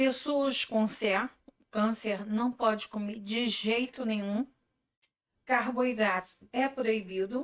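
Her pitch fairly high, a woman talks at a very slow pace with fairly even intonation. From Brazil, Macaé (Rio de Janeiro state). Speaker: gluten-free food entrepreneur. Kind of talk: casual interview chat. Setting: live video stream.

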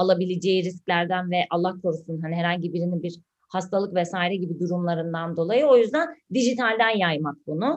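With an unremarkable speaking voice, a woman talks fairly quickly in a fairly low pitch, hardly pausing and varying her pitch in an ordinary way. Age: 30s. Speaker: podcast co-host, digital marketer. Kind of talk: casual chat.

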